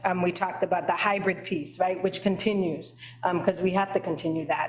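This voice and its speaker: Over noticeable background noise, the voice moves at a fairly quick pace with monotone, flat intonation. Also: woman. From Boston, Dorchester (Haitian family). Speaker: library trustee, committee chair. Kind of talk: committee meeting discussion. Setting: meeting room with attendees in person. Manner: conversational, frequent fillers.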